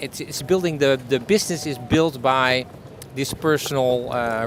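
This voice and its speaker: Medium pitch and ordinary pitch variation from a man with a Dutch accent, with noticeable background noise. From Netherlands. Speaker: business owner, storytelling consultant. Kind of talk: interview answer. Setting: outdoors.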